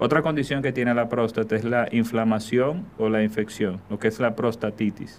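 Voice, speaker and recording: A normal speaking voice from a man at a medium pitch and moderate pace, with hardly any pauses and fairly even intonation. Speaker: urologist and oncologist. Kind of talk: interview, medical explanation.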